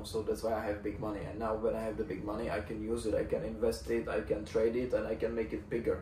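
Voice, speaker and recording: Audible room echo surrounds a man with a Czech accent who talks at a fairly quick pace, medium pitch and fairly even intonation. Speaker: fitness coach and vlogger. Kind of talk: casual vlog monologue. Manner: halting, searching for words.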